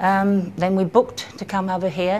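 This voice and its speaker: This woman has a southern English accent. Light background noise can be heard. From Kent, England. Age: 60s. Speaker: cancer patient. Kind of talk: patient testimonial. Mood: calm, reflective. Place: hall. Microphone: camera far.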